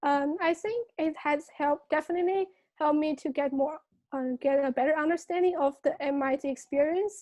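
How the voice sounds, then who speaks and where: Speaking fairly quickly in a Chinese accent, a woman has a high pitch, a dark, mellow tone and ordinary pitch variation, recorded dry and close with no echo. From China. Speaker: student. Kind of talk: interview. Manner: hesitant, many fillers.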